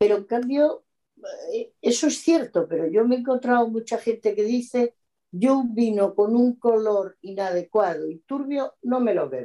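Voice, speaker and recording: With a dark, mellow tone and a fairly high pitch, a woman talks at a fairly slow pace using lively intonation. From Extremadura, Spain (Mérida). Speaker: oenologist. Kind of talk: interview.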